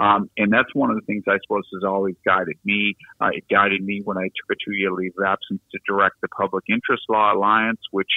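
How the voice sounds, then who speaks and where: With a Boston accent, a man talks at a fairly quick pace with hardly any pauses. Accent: Boston American. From US Northeast, Boston. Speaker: law lecturer. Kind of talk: podcast interview. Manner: hesitant, many fillers.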